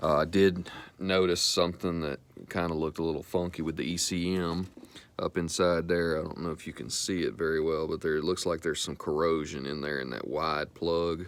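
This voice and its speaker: A man in a Southern US accent, very deep and low, relaxed in tone, at a fairly quick pace with fairly even intonation. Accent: country Southern. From US South, Mississippi. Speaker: car restoration hobbyist. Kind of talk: DIY repair vlog. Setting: in a car, then garage. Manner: casual, relaxed.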